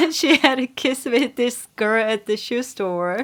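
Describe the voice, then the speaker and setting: A woman speaks with a fairly high pitch and ordinary pitch variation. Her pace is very slow. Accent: Korean. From South Korea. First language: Korean. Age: 40s. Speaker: sex toy store owner. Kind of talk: casual interview chat. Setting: podcast recording.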